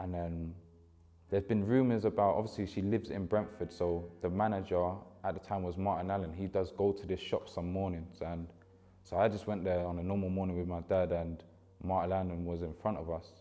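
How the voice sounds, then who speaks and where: A man's very deep, low voice in a London accent, dark and mellow in tone, at a fairly quick pace with monotone, flat intonation. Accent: London, multicultural London English. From West London, Ealing. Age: 20s. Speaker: former youth footballer. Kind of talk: documentary interview. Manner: casual, conversational.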